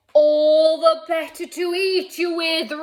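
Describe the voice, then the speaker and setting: A put-on character voice at an extremely high pitch and a fairly slow pace. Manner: roaring.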